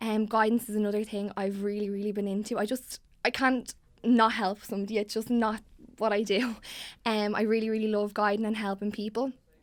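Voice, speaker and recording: A woman with a Dublin accent talks at a fairly quick pace and a fairly high pitch. Her intonation is monotone and flat. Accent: Dublin Irish. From Ireland, Dublin (Tallaght). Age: 20s. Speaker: student election candidate. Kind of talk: interview. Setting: studio. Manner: hesitant, many fillers.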